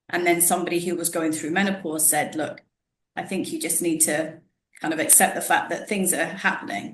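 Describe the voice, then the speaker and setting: Moderately paced speech with ordinary pitch variation and audible room echo. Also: woman. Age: 40s. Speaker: podcast host, wellness professional. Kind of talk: casual interview chat. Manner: conversational, with false starts.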